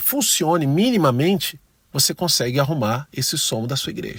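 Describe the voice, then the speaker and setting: A man with a somewhat breathy, fairly high voice and lively intonation, speaking at a fairly slow pace. The recording is very clean, with a silent background. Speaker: church music ministry teacher. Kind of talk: tutorial. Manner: conversational.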